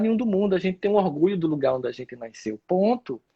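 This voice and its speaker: A man talks at a very fast pace in a dark, mellow tone, his pitch swinging very widely. The sound is dry and close, with no echo. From Northeast Brazil, Campina Grande, Paraíba. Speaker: speaker and lecturer. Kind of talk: casual chat. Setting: live stream.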